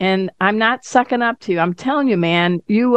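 With lively intonation, a woman talks in an unremarkable speaking voice at a medium pitch. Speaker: radio host. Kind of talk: interview.

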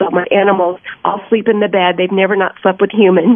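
A woman talks fairly quickly in a flat monotone. Background noise is noticeable. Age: 60s. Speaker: actress and animal welfare advocate. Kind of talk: interview.

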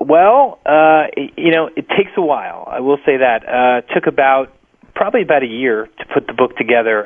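A man with an American accent and a normal speaking voice talks at a medium pitch with ordinary pitch variation. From US Northeast (New Jersey). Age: 30s. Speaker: author and screenwriter. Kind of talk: radio interview.

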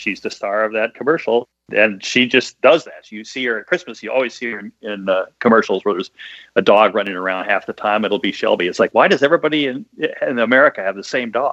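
A man talks at a very fast pace with big swings in loudness. The sound is dry and close with no echo. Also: medium pitch for a man, ordinary pitch variation. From US Midwest. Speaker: bestselling author and screenwriter. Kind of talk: casual interview. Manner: clear enunciation.

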